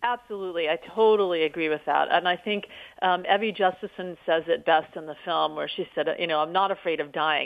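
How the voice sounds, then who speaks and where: Using a normal speaking voice, a woman talks at a fairly quick pace in a fairly low pitch, with ordinary pitch variation. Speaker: documentary filmmaker. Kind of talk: interview.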